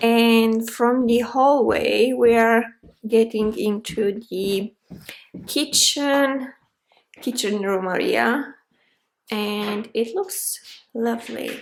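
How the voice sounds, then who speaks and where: Woman with a fairly high pitch and ordinary pitch variation, very slow, with long, frequent pauses. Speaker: lifestyle vlogger. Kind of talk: vlog narration. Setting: outdoors then inside a house viewing. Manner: loud.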